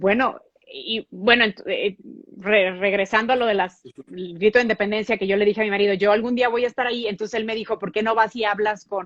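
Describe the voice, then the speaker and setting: Talking at a fairly quick pace, a woman with a fairly high pitch keeps a fairly even intonation in a dry, close sound with no echo. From Mexico. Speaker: TV news anchor. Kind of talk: interview.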